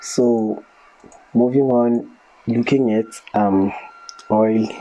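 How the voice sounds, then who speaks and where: Long, frequent pauses break up the speech, and noticeable background noise runs underneath. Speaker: market analyst. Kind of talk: tutorial. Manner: hesitant with fillers.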